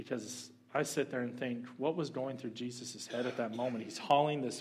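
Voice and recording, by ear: The intonation stays fairly even as someone is reading aloud in a natural voice.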